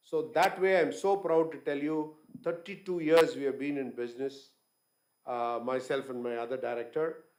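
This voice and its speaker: In a plain, everyday voice, a man talks at a moderate pace with a fairly high pitch and ordinary pitch variation. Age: 60s. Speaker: business owner, guest speaker. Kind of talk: conference talk.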